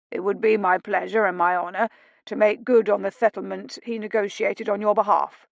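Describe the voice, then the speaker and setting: A woman puts on a raspy character voice at medium pitch, moving at a fairly quick pace with fairly even intonation in a dry, close sound with no echo. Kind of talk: formal. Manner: very fast, words tripping over each other.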